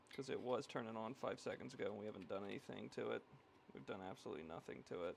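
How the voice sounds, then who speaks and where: A man mumbles at a very fast pace. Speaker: electronics repair streamer. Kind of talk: live stream repair chat. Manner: mumbling.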